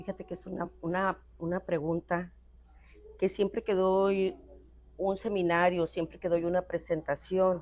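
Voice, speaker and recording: Pausing long and often, a woman speaks at a fairly slow pace in a flat, monotone way. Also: medium pitch for a woman. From northwest Mexico (San Luis Río Colorado, Sonora). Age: 60s. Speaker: thanatologist psychotherapist. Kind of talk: interview conversation. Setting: café. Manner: hesitant, many fillers.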